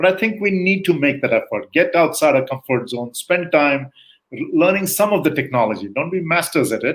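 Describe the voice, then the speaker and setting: Fairly quick and full of lively intonation, a man speaks at a high pitch. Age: 60s. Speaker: guest expert on leadership. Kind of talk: interview conversation.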